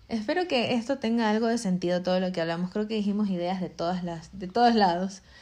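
The tone is dark and mellow, and the pace is very fast. Pitch varies in an ordinary way. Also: woman, medium pitch for a woman. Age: 20s. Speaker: podcast host and makeup school owner. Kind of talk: casual chat. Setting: at home.

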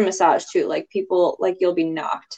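In a plain, everyday voice, a woman talks at a moderate pace and medium pitch. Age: 30s. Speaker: massage therapist. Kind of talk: casual chat.

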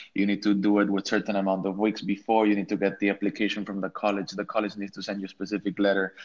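A man speaks at a very fast pace with hardly any pauses, in an Ecuadorian accent. His fairly low voice stays monotone and flat. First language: Spanish. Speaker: architect. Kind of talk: casual chat.

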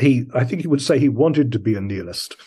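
Somewhat breathy and dark, mellow in tone, a man speaks with lively intonation. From London and Brisbane. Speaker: poet and scholar. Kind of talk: interview.

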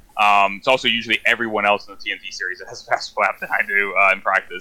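A man talks at a fairly quick pace. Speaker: sim racer and race broadcaster. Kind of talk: casual chat.

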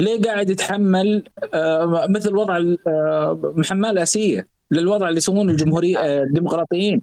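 A man's high-pitched voice with a dark, mellow tone, very even loudness, fairly even intonation and a moderate pace. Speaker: economic commentator. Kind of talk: casual chat.

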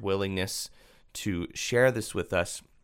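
Recorded very cleanly against a silent background, a man talks at a moderate pace in an unremarkable speaking voice with ordinary pitch variation. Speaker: podcast host. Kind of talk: interview and scripted narration.

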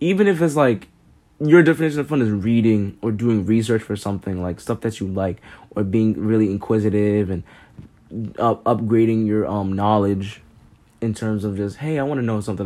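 A man talks at a fairly quick pace and a fairly low pitch. His tone is dark and mellow, with ordinary pitch variation. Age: 20s. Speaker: podcast host. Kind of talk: casual monologue. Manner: relaxed.

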